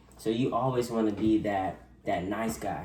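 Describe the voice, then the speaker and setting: Audible room echo surrounds speech at a moderate pace with fairly even intonation. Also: man. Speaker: youth interview guest. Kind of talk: interview. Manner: halting, self-correcting.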